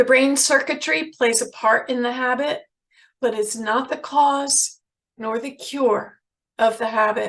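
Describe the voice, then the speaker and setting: Here a woman talks with an American accent. Her pitch is high and her pace fairly slow. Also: ordinary pitch variation. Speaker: addiction ministry speaker. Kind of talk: lecture.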